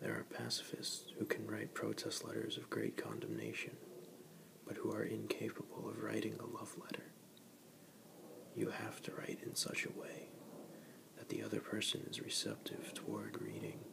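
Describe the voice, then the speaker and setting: Whispered words come at a medium speed, broken by long and frequent pauses, as background noise stays noticeable. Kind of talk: whispered ASMR reading of a book passage. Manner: whispered, soft-spoken.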